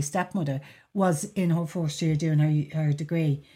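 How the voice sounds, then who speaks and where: A woman with a Dublin accent speaks at a moderate pace and a fairly low pitch, her tone dark, mellow and somewhat breathy. Her pitch variation is ordinary, and the recording is very clean with a silent background. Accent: Dublin Irish. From Dublin, Ireland. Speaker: podcast host. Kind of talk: casual chat.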